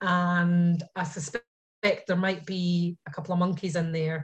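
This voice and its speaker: A somewhat breathy woman with a Scottish accent, against a quiet background. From Scotland. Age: 40s. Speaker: painter. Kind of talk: casual chat.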